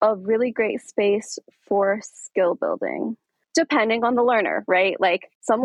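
This woman has an unremarkable speaking voice, fairly high in pitch. She talks at a fairly slow pace with ordinary pitch variation. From Aurora, Colorado, US. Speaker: dance studio founder and podcast host. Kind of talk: casual interview.

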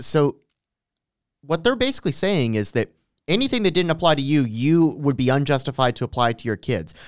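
With lively intonation and a fairly quick pace, a man speaks at a medium pitch in an ordinary speaking voice, the sound dry and close with no echo in a very clean recording with a silent background. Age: 20s. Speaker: podcast co-host. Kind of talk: casual chat.

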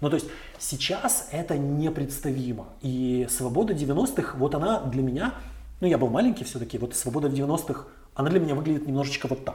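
The voice has a dark, mellow tone and is somewhat breathy. Its pitch moves in an ordinary way. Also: man, fairly high pitch for a man, moderate pace. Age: 40s. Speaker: chief editor of a news outlet. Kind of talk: interview.

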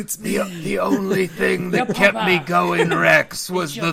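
A man's put-on character voice, high in pitch and at a fairly slow pace, against clear background noise. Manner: weak, dying, sentimental.

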